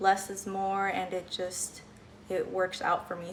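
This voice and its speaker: Here is a woman speaking. Her pitch sits in the medium range. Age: 20s. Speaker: lifestyle vlogger. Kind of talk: home tour vlog. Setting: at home. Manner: casual, filler-heavy.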